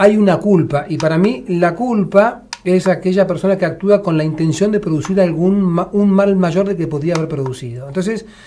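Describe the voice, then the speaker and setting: A man with a high pitch and ordinary pitch variation speaks at a moderate pace with hardly any pauses over noticeable background noise. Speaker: war veteran. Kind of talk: casual chat.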